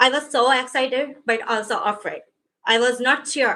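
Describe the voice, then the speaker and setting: A woman's fairly high, bright, sharp voice with a non-native accent, fairly even intonation and a fairly slow pace. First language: not English. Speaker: adult education graduate giving a speech. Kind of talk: graduation speech. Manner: halting.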